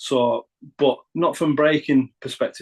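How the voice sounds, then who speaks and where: A man with a Northern English accent speaks at a fairly slow pace. His intonation is fairly even, and the sound is dry and close with no echo. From northern England. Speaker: rapper. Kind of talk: interview. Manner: halting.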